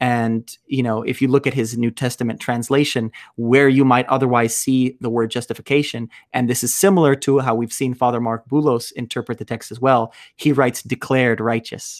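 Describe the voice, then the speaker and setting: A man speaks with an Ethiopian accent at a fairly quick pace. His intonation is monotone and flat, in a dry, close sound with no echo. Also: medium pitch for a man. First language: Amharic. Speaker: podcast host and deacon. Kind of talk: casual interview conversation. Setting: video call.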